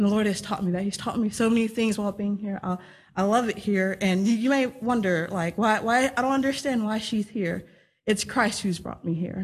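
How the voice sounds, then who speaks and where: A woman with an American accent, medium-pitched and somewhat breathy, at a fairly quick pace with fairly even intonation. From Texas. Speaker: young missionary. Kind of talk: testimony.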